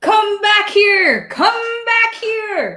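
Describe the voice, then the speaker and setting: This is a put-on character voice at an extremely high pitch. The speaker is shouting. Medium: actual play.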